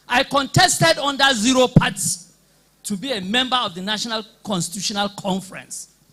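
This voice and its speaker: A raised, projected voice in a Nigerian accent carries a bright, sharp tone. The pace is moderate and the intonation lively. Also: man. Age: 60s. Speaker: political party member. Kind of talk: public debate speech. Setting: hall with live audience.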